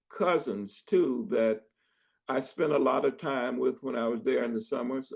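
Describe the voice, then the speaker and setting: At a fairly slow pace, a man uses lively intonation at a medium pitch, with vocal fry. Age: 80s+. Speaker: family elder, interviewee. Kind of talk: interview answer.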